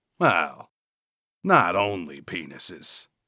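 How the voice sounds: A put-on character voice with a bright, sharp tone, very wide pitch swings and a very slow pace, on a very clean recording with a silent background. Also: man, low pitch for a man.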